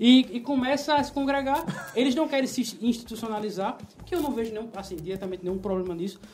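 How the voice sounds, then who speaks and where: Amid noticeable background noise, a woman talks at a very fast pace. Her fairly high voice has lively intonation. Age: 20s. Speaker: podcast panelist. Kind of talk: casual chat. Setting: studio, live stream.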